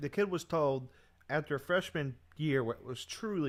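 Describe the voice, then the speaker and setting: A man is speaking. His voice is loud. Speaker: livestream host, football commentator. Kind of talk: casual live stream commentary. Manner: halting.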